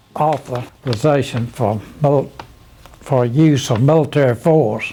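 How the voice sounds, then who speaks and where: Against noticeable background noise, a man with an American accent speaks at a very slow pace in a fairly high pitch with fairly even intonation. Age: 80s+. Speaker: war veteran. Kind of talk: conversation.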